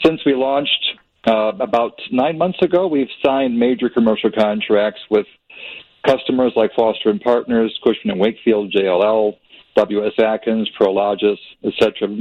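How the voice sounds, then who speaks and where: A man talks at a moderate pace with very even loudness. His pitch is medium, and he has an ordinary speaking voice. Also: ordinary pitch variation. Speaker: architect and tech founder. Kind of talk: startup pitch. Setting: phone call.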